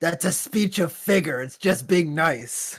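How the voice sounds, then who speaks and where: A man puts on a raspy character voice, high for a man. His intonation is lively and his pace fairly slow. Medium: actual play.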